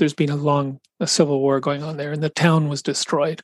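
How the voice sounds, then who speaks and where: A man's unremarkable speaking voice at a fairly high pitch, with a moderate pace and fairly even intonation. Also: dry, close sound with no echo. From Canada. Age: 60s. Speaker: children's charity executive. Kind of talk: interview.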